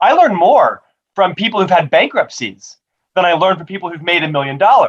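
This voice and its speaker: Speaking fairly quickly in an American accent, a man with a high pitch shows big swings in loudness. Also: lively intonation. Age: 50s. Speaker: author and podcast host. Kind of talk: interview. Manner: stutter.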